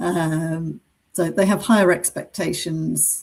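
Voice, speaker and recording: This woman speaks with a British accent. Her pitch varies in an ordinary way. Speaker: business coach for accountants. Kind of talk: webinar presentation. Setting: online webinar.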